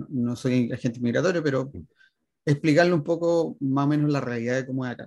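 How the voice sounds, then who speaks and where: Here a man talks in a normal speaking voice with ordinary pitch variation. His pace is fairly quick. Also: medium pitch for a man. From Chile, Viña del Mar area. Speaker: emigrant, designer and youtuber. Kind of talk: interview.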